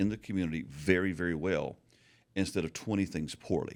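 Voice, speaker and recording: A man talks at a fairly quick pace with a very deep, low pitch. The recording is very clean and the background silent. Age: 60s. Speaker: pastor and author. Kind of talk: casual chat. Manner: stammering on word starts.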